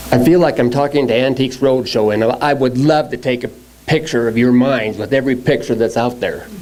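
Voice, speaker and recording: A man with an American accent speaks at a medium pitch with fairly even intonation over noticeable background noise. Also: fairly quick pace. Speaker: log truck driver. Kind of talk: testimony.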